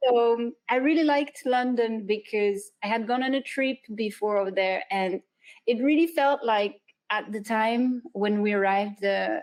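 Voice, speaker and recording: At a moderate pace, this woman talks with a fairly high pitch that varies in an ordinary way. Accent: French. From southern France. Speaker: freelance illustrator and animator. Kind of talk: interview. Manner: hesitant, many fillers.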